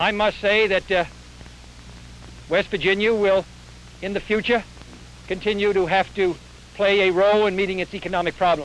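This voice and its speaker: A high-pitched man's voice in a monotone, flat intonation at a moderate pace, with long, frequent pauses and noticeable background noise. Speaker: US senator and presidential candidate. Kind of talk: political speech at a press conference. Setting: outdoors at a press conference, old film recording.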